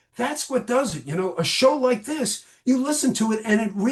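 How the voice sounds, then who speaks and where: With an American accent and an animated tone, the speaker uses lively intonation at a moderate pace over noticeable background noise. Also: man. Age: 60s. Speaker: podcast guest, music fan. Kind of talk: casual chat.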